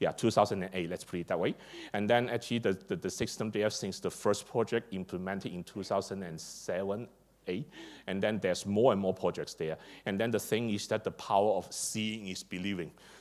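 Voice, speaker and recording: A man with a Chinese accent talks at a fairly quick pace in a fairly low voice with fairly even intonation. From China. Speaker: district energy engineer and conference speaker. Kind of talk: conference presentation. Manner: hesitant, many fillers and repetitions; hurried.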